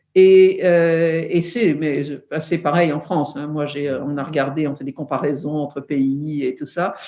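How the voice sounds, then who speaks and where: Hardly pausing, a woman speaks with fairly even intonation in a very deep, low voice of dark, mellow tone. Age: 70s. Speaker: entrepreneur and founder of a women's forum. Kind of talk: interview. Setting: video call. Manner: hesitant with many fillers.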